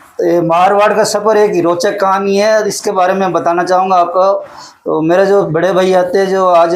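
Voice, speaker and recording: The man's voice is high-pitched and delivered in a monotone, flat intonation. Audible room echo surrounds it. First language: Hadoti (Rajasthani) (speaking Hindi). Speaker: poet and school teacher. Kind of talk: interview.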